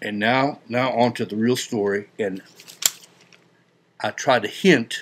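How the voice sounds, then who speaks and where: The speaker mumbles with fairly even intonation over noticeable background noise. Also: man. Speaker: video blogger. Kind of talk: comedic monologue. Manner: mumbling; folksy, joking.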